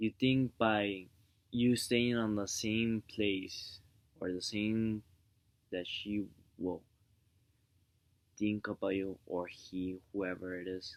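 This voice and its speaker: Slowed to a very slow pace, a man with a fairly low pitch keeps fairly even intonation and leaves long, frequent pauses. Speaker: vlogger giving relationship advice. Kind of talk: casual vlog monologue. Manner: soft-spoken; rambling, halting with fillers.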